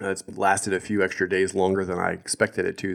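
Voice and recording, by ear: A man talks at a fast pace with a low pitch and vocal fry. His tone is slightly mellow and nasal.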